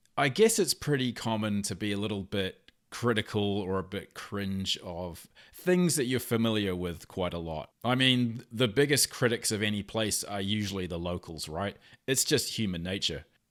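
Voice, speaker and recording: Against a very clean recording with a silent background, a man with a New Zealand accent speaks at a moderate pace in a fairly low pitch. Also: ordinary pitch variation. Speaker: video commentator. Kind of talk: reaction commentary. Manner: casual, with filler words.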